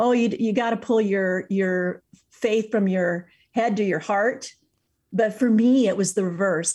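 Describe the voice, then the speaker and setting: A woman with a US Midwestern accent, medium pitch, ordinary pitch variation and a fairly slow pace, against a quiet background. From Iowa, US Midwest. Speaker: author and speaker. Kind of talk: interview.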